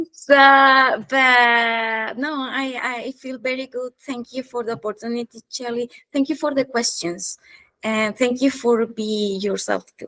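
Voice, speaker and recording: A woman with a non-native accent speaks at a fairly slow pace in a high, bright, sharp voice, with fairly even intonation and big swings in loudness. The recording is very clean, with a silent background and a dry, close sound with no echo. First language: not English. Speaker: business consultant. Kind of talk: interview. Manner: passionate; halting.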